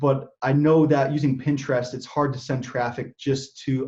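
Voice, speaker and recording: Somewhat breathy, a man speaks at a medium pitch. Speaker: affiliate marketer. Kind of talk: interview. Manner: fast; mumbling.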